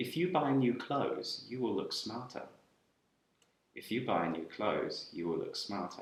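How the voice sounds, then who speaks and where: With a British accent and vocal fry, a man speaks with very wide pitch swings and long, frequent pauses. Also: medium pitch for a man, moderate pace. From UK. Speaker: English teacher. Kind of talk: grammar lesson to camera.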